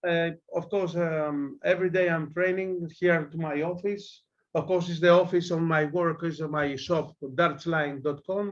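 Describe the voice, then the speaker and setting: With a Greek accent, a man talks at a fairly slow pace in a high pitch with fairly even intonation. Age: 40s. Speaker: darts player. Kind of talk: interview. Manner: halting.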